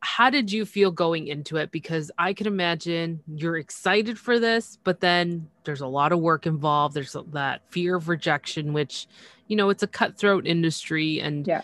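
A woman with a plain, everyday voice speaks at a moderate pace with hardly any pauses, in a fairly low pitch with ordinary pitch variation. The sound is dry and close with no echo, over a quiet background. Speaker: podcast host. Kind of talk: casual interview chat. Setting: remote call.

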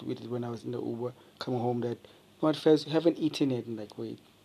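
A man at medium pitch talks at a very fast pace with fairly even intonation. His loudness swings a lot, and there is noticeable background noise. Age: 20s. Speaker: podcaster. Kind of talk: solo late-night monologue. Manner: rambling, halting with repetitions.

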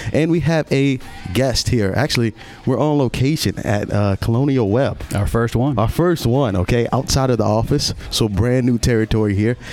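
Over noticeable background noise, a man at medium pitch talks in an animated tone at a moderate pace, with ordinary pitch variation and very even loudness. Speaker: podcast host. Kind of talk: casual interview chat. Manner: animated, friendly.

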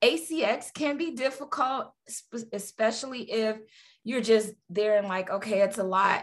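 With ordinary pitch variation, a woman talks at a fairly slow pace. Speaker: audiobook producer. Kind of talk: casual interview chat. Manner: chatty, long-winded.

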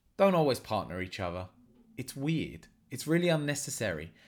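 Very wide pitch swings mark this man's fairly quick speech. The recording is very clean with a silent background. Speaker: martial arts coach and podcast host. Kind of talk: solo podcast monologue.

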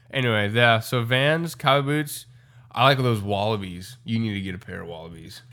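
Against a very clean, silent background, a man speaks at medium pitch and a moderate pace. His tone is bright, sharp and animated, with lively intonation. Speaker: podcast host. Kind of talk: casual chat. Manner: loud; animated, joking.

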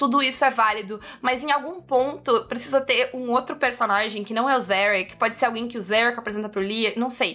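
Over background music, a woman speaks loudly at a high pitch, fairly quickly and with hardly any pauses, with ordinary pitch variation. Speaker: podcast host. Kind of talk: casual chat.

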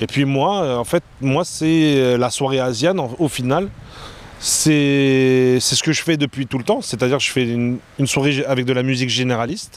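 At a medium pitch and moderate pace, a man talks in an unremarkable speaking voice with very even loudness. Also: ordinary pitch variation. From France. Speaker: nightlife event organizer. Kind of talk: casual interview.

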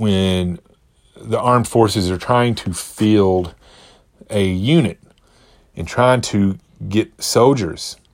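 Ordinary pitch variation in a man's fairly low-pitched voice. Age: 40s. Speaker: health and fitness podcast host. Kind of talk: solo podcast monologue. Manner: hesitant with many fillers.

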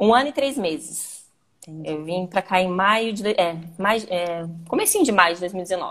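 A woman speaks in a normal speaking voice at a medium pitch. She keeps a moderate pace with lively intonation. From Brazil, Paraná (Londrina). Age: 30s. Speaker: mother and podcast guest. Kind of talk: casual chat.

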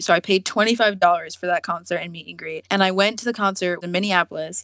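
A woman speaks fairly quickly in an ordinary speaking voice, medium in pitch, with an American accent and fairly even intonation. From US, Virginia. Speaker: artist. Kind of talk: casual interview.

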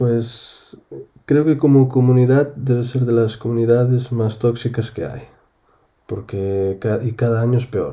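With a Galician accent, a man speaks slowly at a medium pitch in a dark, mellow tone. His voice is somewhat breathy and his intonation fairly even. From Spain, Galicia. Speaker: gamer, host's husband. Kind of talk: casual chat.

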